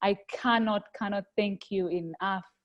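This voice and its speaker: A woman speaks with a Rwandan accent at a medium pitch, her intonation fairly even. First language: Kinyarwanda. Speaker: webinar host. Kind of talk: closing remarks. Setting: video call.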